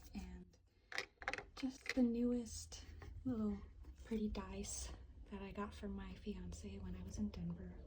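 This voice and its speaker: Soft-spoken, fairly slow speech with long, frequent pauses and noticeable background noise. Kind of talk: ASMR tapping and soft-spoken show-and-tell. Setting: home apartment, filming at home.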